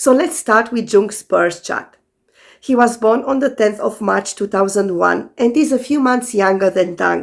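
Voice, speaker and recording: Very clean recording with a silent background, featuring a woman with a fairly high pitch, vocal fry, ordinary pitch variation and a fairly slow pace. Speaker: astrologer. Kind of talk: scripted commentary.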